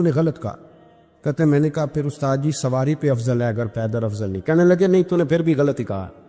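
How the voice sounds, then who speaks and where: Music plays in the background as a man with fairly high pitch speaks in a lively intonation. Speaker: Islamic preacher giving a bayan. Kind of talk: Islamic sermon (bayan) with storytelling.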